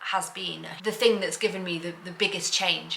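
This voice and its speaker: A woman with a British accent speaks over noticeable background noise. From UK. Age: 40s. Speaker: lifestyle vlogger. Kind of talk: personal vlog monologue. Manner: halting, repeats words.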